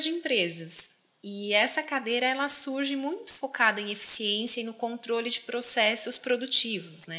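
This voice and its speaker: High-pitched female speech at a moderate pace, with noticeable background noise. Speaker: podcast host. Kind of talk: interview.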